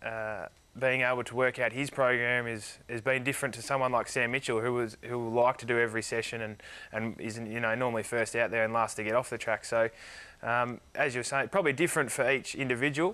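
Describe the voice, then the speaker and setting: This man has a bright, sharp tone and a medium pitch, with an Australian accent. He talks at a fairly quick pace with fairly even intonation. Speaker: professional footballer; guest. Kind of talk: interview. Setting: studio. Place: studio. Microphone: lapel.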